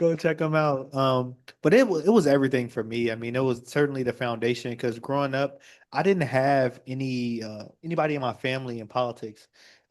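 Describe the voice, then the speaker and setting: Talking at a fairly quick pace, a man with an American accent uses ordinary pitch variation. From Chicago. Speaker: state representative. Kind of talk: panel discussion.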